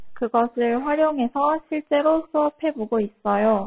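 Ordinary pitch variation carries speech at a fairly slow pace. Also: woman. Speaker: Korean language tutor. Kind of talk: self-introduction video.

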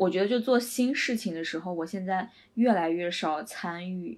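Speaking at a medium pitch, a woman lets her voice rise and fall in an ordinary way. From China. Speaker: podcast co-host. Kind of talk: casual chat.

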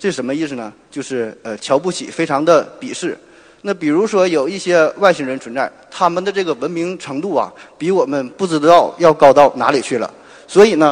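The man's pitch sits fairly high, and he keeps a moderate pace. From Northeast China, Shenyang. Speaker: surgeon and podcaster. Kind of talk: popular science talk. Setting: stage with audience.

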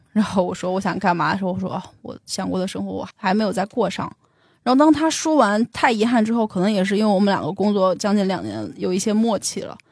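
Talking at a very fast pace, a woman with a medium-pitched voice and ordinary pitch variation is heard on a very clean recording with a silent background. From Beijing. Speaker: tech company employee sharing life story. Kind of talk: personal testimony in interview.

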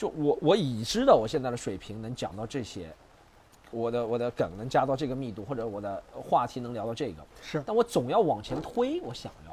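A man with a normal speaking voice talks at a fairly quick pace with lively intonation. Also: medium pitch for a man. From Shanghai. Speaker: stand-up comedian. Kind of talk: casual chat. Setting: outdoors in the rain.

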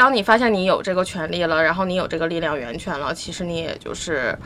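There is noticeable background noise as a woman speaks. She talks at a fairly quick pace with a fairly low pitch. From Northeast China. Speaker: podcast guest. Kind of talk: casual chat.

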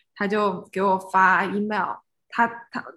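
Bright, sharp female speech over a quiet background. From China, Suzhou. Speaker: spatial experience designer. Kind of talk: casual interview.

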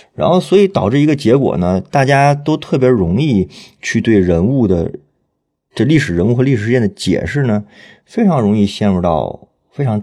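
Over a silent background on a very clean recording, a man with a dark, mellow tone talks at a moderate pace, his pitch swinging very widely. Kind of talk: panel conversation, podcast interview.

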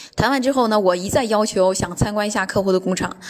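Noticeable background noise surrounds a woman speaking with ordinary pitch variation. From China. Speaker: businesswoman on a sales trip. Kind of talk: personal account. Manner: hesitant with many fillers.

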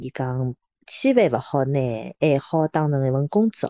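At a moderate pace, a woman speaks in a very deep, low pitch with ordinary pitch variation. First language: Shanghainese (speaking Chinese). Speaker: podcast co-host. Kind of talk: casual chat.

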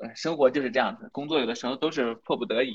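This man has a fairly high pitch and a slight Northeastern Chinese accent. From Inner Mongolia, near Northeast China. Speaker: photography blogger. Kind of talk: live-stream conversation.

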